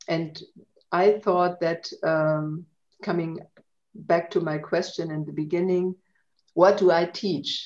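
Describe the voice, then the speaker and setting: A woman speaks very slowly in a German accent, her pitch fairly low. Her tone is dark and mellow. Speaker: language centre coordinator. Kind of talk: casual chat. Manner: halting.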